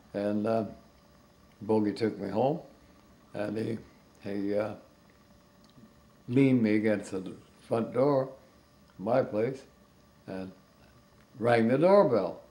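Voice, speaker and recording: A man's very slow, fairly low-pitched voice with an American accent, dark, mellow tone, fairly even intonation, long, frequent pauses and audible room echo. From United States. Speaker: retired animator. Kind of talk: interview anecdote. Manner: halting.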